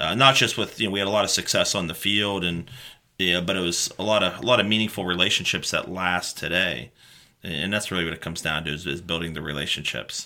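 A man with a very deep, low pitch and a bright, sharp tone talks at a very fast pace with ordinary pitch variation, in a very clean recording with a silent background. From western Pennsylvania (Mercer County). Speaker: high school football coach. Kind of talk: casual interview chat.

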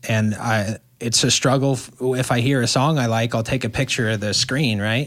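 This man has a normal speaking voice with an American accent and a medium pitch. He talks at a moderate pace with fairly even intonation. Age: 20s. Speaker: truck driver. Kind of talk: casual chat.

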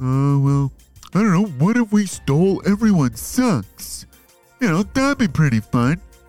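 Faint music plays in the background as a man speaks at a fairly slow pace. His fairly high voice swings very widely in pitch while his loudness stays very even. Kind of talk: kids' audio story comedy. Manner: dopey, hesitant, rambling.

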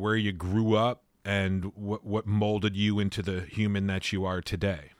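A normal speaking voice moves at a moderate pace. The recording is very clean with a silent background and a dry, close sound with no echo. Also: man. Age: 50s. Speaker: podcast host. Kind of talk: casual interview. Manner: relaxed, many filler words.

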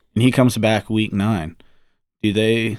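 In a very clean recording with a silent background, a man with a plain, everyday voice and medium pitch speaks at a fairly slow pace. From US South, New Orleans. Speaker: football fan guest. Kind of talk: casual chat.

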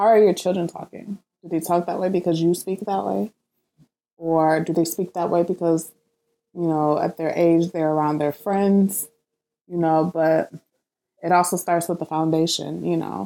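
A woman with a fairly low pitch talks at a moderate pace and fairly even intonation. Her speech has long, frequent pauses. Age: 30s. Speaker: podcast host and mother. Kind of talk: casual monologue.

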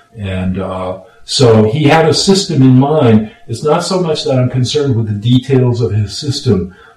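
With an American accent, a man talks in a normal speaking voice at medium pitch and a fairly slow pace, his pitch varying in an ordinary way. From Los Angeles, California. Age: 60s. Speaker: retired lawyer and radio producer. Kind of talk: casual chat. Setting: home studio.

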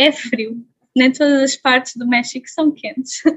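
A woman speaks at a high pitch with a monotone, flat intonation. Her pace is fairly slow. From Portugal. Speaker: traveller. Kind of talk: interview.

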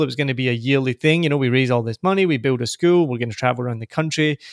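A very fast, medium-pitched man's voice with a Glasgow accent and ordinary pitch variation, dry and close with no echo, on a very clean recording with a silent background. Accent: soft Scottish (Glaswegian). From Glasgow, Scotland. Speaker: podcaster and entrepreneur. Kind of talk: casual interview chat.

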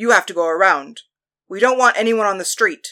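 In a put-on character voice that sounds female, the speaker growls at a fairly high pitch with lively intonation and a fairly quick pace, on a very clean recording with a silent background. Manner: indignant, then commanding.

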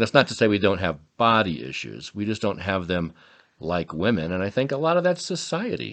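A man's fairly low pitch with vocal fry and very wide pitch swings at a fairly quick pace. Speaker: podcast co-host. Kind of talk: casual chat. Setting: studio.

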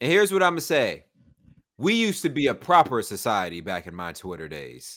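Fairly quick and full of very wide pitch swings, a man with a Southern US accent speaks with vocal fry and big swings in loudness in a very clean recording with a silent background. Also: medium pitch for a man. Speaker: podcast host. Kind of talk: casual banter. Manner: animated, humorous.

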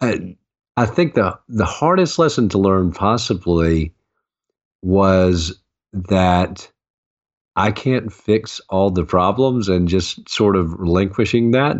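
A man with a Southern US accent speaks very slowly in a fairly low pitch, at very even loudness. Long, frequent pauses break up his speech. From US South, Augusta, Georgia. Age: 50s. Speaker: author and former mayor. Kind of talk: interview.

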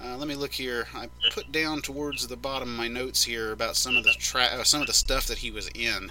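Music plays behind a man speaking. He goes at a fairly quick pace with hardly any pauses. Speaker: podcast host. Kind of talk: casual chat reviewing monster truck footage.

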